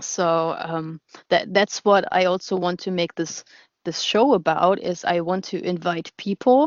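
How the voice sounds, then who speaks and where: A woman's medium-pitched voice with a German accent, at a fairly slow pace. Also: ordinary pitch variation. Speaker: radio show host. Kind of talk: casual interview chat. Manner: halting, many repetitions and fillers.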